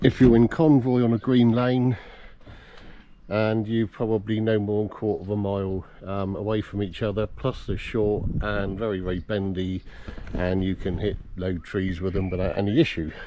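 At a moderate pace, a man talks with a fairly low pitch, a dark, mellow tone and little pitch movement.

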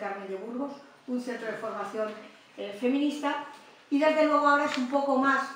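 Strong room echo surrounds a woman talking at a fairly quick pace. Her intonation stays fairly even over light background noise. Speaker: host introducing the guest lecturer. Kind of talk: formal introduction speech. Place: meeting room.

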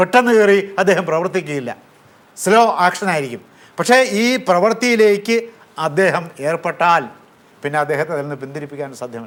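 High-pitched, a man speaks with lively intonation. His loudness swings widely. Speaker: professor. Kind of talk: lecture. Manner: formal; halting.

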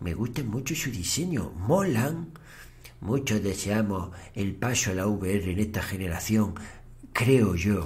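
At a very slow pace, a man speaks with lively intonation and a fairly low pitch. His voice is somewhat breathy. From Spain. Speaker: Twitch streamer. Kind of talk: live stream chat. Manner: animated. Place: home room.

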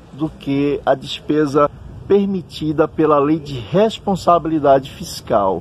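Over noticeable background noise, a man speaks at a very slow pace in a fairly high pitch with ordinary pitch variation. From Juazeiro, Bahia, Brazil. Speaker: teacher and interviewer. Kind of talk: interview. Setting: outdoors in a town square.

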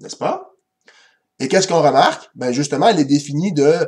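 Over a quiet background, a man with a Quebec accent talks at a fairly high pitch with lively intonation. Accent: Québécois French. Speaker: math teacher. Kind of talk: lecture. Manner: hesitant, with frequent fillers. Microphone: webcam.

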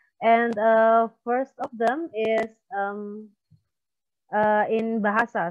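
Speaking very slowly with an Indonesian accent, a woman is heard against a quiet background. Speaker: panel moderator. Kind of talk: panel moderation. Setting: video call. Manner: halting. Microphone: earbuds.

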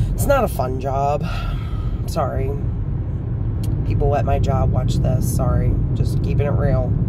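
A man at a fairly slow pace, dry with no echo, under loud background noise. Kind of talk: casual vlog chat. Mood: wry, venting. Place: car. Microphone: phone near.

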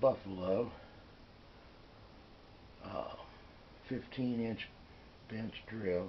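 A man's voice over light background noise. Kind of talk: casual tour commentary. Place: workshop. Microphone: phone near.

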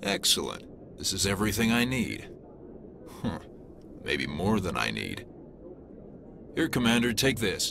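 A man's put-on character voice, low-pitched with big pitch swings, fairly bright in tone with vocal fry, at a fairly slow pace with long, frequent pauses

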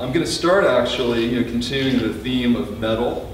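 A man speaks over light background noise. Audible room echo surrounds his voice. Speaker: poet giving a reading. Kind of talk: introduction before a poetry reading. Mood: relaxed, lightly humorous. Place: shop. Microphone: camera far.

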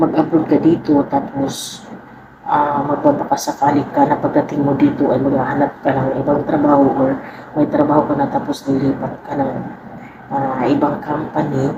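Over noticeable background noise, a woman speaks at a very deep, low pitch and a moderate pace with monotone, flat intonation. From Philippines. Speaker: vlogger, overseas Filipino worker. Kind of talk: casual vlog talk to camera.

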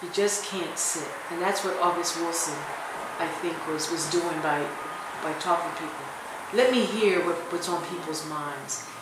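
Over loud background noise and audible room echo, a woman with an American accent speaks at a moderate pace. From US Northeast, Philadelphia. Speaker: professor. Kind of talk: interview. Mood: reflective, firm at times. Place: hall. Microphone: phone near.

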